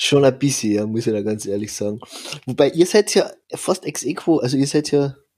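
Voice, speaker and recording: This man has an unremarkable speaking voice, fairly high in pitch. He talks at a moderate pace with lively intonation. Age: 30s. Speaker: ice hockey podcast host. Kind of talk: casual chat.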